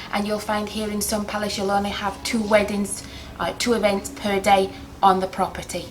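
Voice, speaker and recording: With noticeable background noise behind her, a woman in an English accent speaks at a moderate pace, medium in pitch and monotone, flat in intonation. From England. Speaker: wedding planner. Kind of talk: interview. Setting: on location at a hotel. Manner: hesitant, many filler words.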